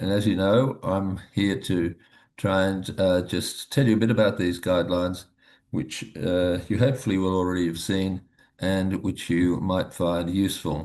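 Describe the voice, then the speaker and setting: A man with very deep, low pitch, fairly even intonation and a moderate pace, against a quiet background. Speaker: medical professor presenting guidelines. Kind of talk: webinar presentation. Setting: live webinar. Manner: hesitant, with frequent fillers.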